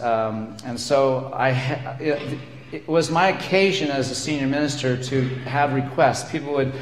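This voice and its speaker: There is noticeable background noise and audible room echo. A man speaks at a medium pitch. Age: 60s. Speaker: minister. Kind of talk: sermon.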